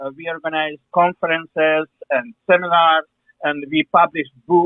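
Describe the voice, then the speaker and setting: Moderate pace with monotone, flat intonation. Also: man, fairly high pitch for a man. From Ukraine. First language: Ukrainian or Russian. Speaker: historian, museum director. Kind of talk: interview. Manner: halting, many fillers.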